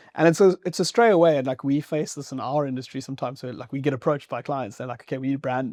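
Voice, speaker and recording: Very fast speech comes from a man whose loudness swings widely. The recording is very clean, with a silent background. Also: fairly high pitch for a man, ordinary pitch variation, hardly any pauses. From Zimbabwe. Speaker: podcast host. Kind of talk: casual interview chat. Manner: casual, many fillers.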